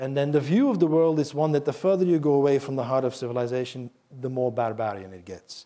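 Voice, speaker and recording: A man with a Flemish accent and a dark, mellow tone, very fast pace, ordinary pitch variation, big swings in loudness, quiet background. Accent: Belgian (Flemish) English. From Belgium. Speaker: professor of Chinese. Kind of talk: lecture. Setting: stage with audience. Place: hall.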